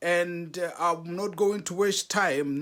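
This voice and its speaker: A man speaks in a raised, projected voice at a very slow pace. The recording is very clean with a silent background. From South Africa. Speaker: relationship talk show host. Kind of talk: motivational talk. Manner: emphatic, repeats key points.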